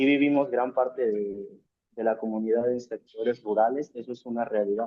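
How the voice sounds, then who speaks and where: A man of medium pitch speaks fairly slowly with fairly even intonation. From Mexico, Hidalgo (Valle del Mezquital). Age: young. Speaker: student activist. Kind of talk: interview conversation. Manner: hesitant, with fillers.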